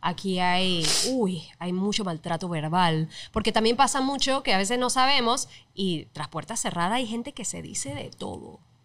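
A woman talks at a medium speed. Her tone rises and falls in a lively way. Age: 30s. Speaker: TV presenter; podcast guest. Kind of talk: casual chat. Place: studio. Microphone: studio mic.

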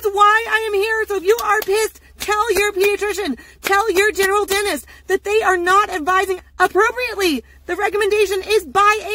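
A woman talks at a fairly quick pace in a raised, projected voice with fairly even intonation, the sound dry and free of echo. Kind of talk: ranting advice vlog. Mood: frustrated, indignant. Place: car. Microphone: phone near.

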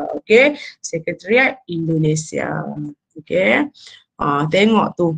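A woman's fairly low voice with vocal fry, very wide pitch swings and a very slow pace, over a quiet background. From Malaysia. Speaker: university lecturer. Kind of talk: lecture. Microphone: webcam.

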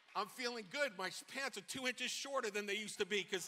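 The voice is raised and projected in a New York accent. Its tone is animated. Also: man. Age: 60s. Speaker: pastor; preacher. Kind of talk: sermon. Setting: church. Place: church. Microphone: handheld.

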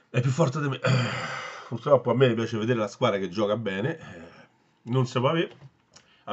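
The setting is quiet. A male voice rushes along very fast, its pitch varying in an ordinary way. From Italy. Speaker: football fan vlogger. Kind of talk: angry rant. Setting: solo home video. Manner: ranting, agitated, swearing and repeating himself; opinionated, casual and blunt, addressing viewers. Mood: frustrated, disappointed fan. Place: home room. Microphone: phone near.

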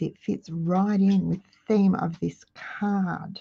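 A woman speaks in a dark, mellow tone that is somewhat breathy. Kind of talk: tutorial. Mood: cheerful, chatty. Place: home room.

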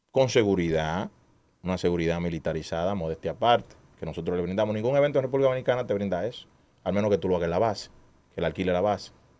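A man with a very deep, low pitch at a very fast pace, on a very clean recording with a silent background. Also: ordinary pitch variation. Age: 30s. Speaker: street racing event organizer. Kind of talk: casual chat. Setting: studio.

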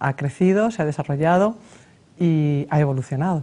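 A woman with a Madrid accent, very deep, low pitch and dark, mellow tone at a moderate pace. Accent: Madrid Spanish, kept. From Spain. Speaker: mayor, lawyer. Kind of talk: TV interview. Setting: TV studio. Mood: warm, smiling. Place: studio. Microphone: lapel.

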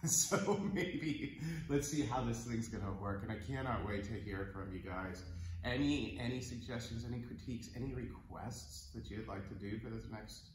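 At a moderate pace, a man speaks with fairly low pitch, with light background noise and audible room echo. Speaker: yoga teacher. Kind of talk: instructional class intro. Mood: relaxed, laughing. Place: home room. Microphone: camera far.

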